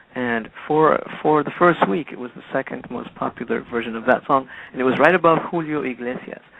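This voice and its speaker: A man at medium pitch talks at a fairly quick pace with hardly any pauses and ordinary pitch variation. His loudness swings widely, and there is noticeable background noise. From Peru, raised partly in London. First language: Spanish. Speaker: musician. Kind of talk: radio interview. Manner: halting.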